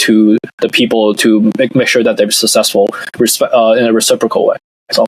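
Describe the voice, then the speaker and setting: This is a man speaking. His pace is fairly quick. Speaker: investor and startup founder. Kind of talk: podcast interview. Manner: measured, with pauses; clear and structured.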